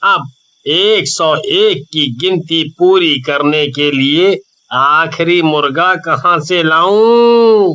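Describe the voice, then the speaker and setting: A man does a put-on character voice, high-pitched and cackling. He speaks at a very slow pace. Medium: read story. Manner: scheming, gleeful cackling.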